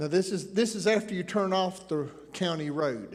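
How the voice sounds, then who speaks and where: Speaking with a slight Appalachian accent, a man talks at a high pitch with ordinary pitch variation amid audible room echo. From Appalachian Tennessee. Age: 60s. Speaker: preacher. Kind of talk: sermon.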